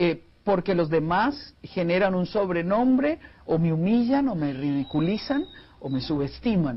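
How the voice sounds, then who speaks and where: This man's voice is high-pitched and swings very widely in pitch. He speaks at a fairly slow pace. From Costa Rica. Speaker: family counselor and speaker; speaker. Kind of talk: TV interview. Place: studio. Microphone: lapel.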